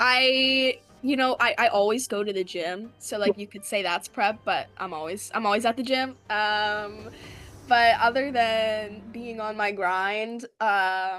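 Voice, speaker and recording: With music in the background, a woman talks very slowly at a fairly high pitch, her loudness swinging widely. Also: ordinary pitch variation. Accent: American. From Philadelphia area, US. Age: 20s. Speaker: reality game contestant. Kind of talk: interview. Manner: casual, filler-heavy.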